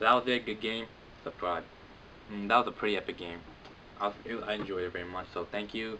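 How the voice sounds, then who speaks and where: A man at a very fast pace, monotone and flat in intonation. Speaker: gaming commentator. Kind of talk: gameplay commentary. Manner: casual, filler-heavy.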